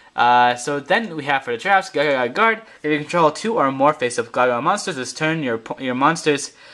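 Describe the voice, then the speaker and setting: Fairly high-pitched for a man, his voice has a bright, sharp tone, lively intonation and a fairly quick pace. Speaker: card game video reviewer. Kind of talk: tutorial. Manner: fast; halting.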